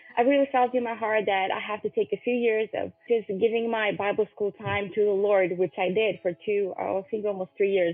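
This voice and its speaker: A woman's medium-pitched voice at a moderate pace, fairly even in intonation, with hardly any pauses and music in the background. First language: Romanian. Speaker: podcast host. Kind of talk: interview.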